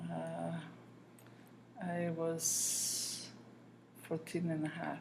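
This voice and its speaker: Very slow speech from a woman amid noticeable background noise and audible room echo. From southern Italy. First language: Italian. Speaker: grandmother interviewed. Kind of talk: interview.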